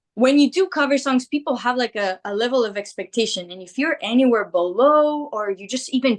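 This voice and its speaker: A woman speaks at a fairly quick pace in a high pitch, with ordinary pitch variation and a dry, close sound with no echo. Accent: Greek. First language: Greek. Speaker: rock singer. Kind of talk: interview. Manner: casual, filler-heavy speech.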